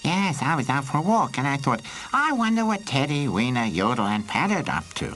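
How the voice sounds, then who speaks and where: Over clear background noise, a put-on character voice at a low-to-middle pitch moves at a fairly quick pace with very wide pitch swings. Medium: voice reel. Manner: flat, stiff cheap-dub delivery.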